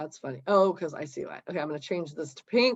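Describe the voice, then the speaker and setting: Her voice is an unremarkable speaking voice, fairly low for a woman, with lively intonation at a moderate pace. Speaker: real estate office trainer. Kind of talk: tutorial.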